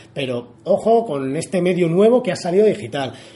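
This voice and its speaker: Over noticeable background noise, a man talks at a moderate pace. His voice is high for a man, with lively intonation. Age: 30s. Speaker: podcast host. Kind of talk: casual interview. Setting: guest's office.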